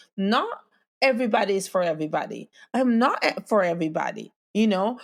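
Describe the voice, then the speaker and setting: This woman has a fairly high pitch and lively intonation with a non-native accent. The recording is very clean, with a silent background. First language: not English. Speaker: podcast host. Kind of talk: motivational talk. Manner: casual.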